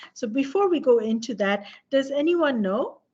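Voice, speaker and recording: A woman with a high pitch speaks at a moderate pace, her pitch swinging very widely. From Nepal. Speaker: professor. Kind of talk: lecture. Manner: halting.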